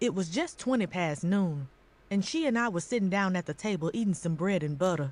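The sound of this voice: Someone is reading a text. The delivery is an unforced reading voice.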